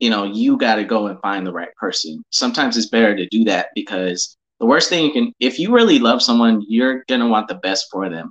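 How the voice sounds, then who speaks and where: A man's normal speaking voice, medium in pitch, with ordinary pitch variation. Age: 20s. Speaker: business partner of host. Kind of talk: casual chat.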